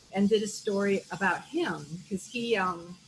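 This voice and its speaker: Background noise is noticeable here. The woman's voice sits at a medium pitch. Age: 50s. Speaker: visual artist and art teacher. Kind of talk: art talk presentation.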